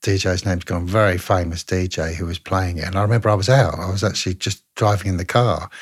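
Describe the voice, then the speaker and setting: The voice is somewhat breathy, with fairly even intonation. The recording is very clean, with a silent background. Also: man. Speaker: singer. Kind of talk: casual interview chat.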